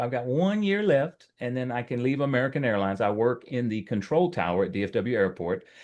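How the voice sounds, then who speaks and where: Over a quiet background, a man with a Texas accent talks at a fairly quick pace with lively intonation. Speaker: real estate agent. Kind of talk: self-introduction on video call.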